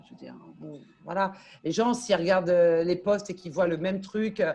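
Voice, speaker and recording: This woman's voice is somewhat breathy, with a dark, mellow tone. She has a medium pitch and ordinary pitch variation. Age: 40s. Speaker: LinkedIn coach and consultant. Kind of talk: interview. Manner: animated.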